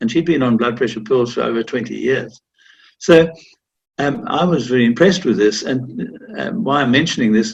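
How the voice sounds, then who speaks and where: Using a medium pitch with vocal fry, a man speaks at a moderate pace with lively intonation. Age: 80s+. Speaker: interviewee living with Parkinson's. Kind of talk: interview testimony.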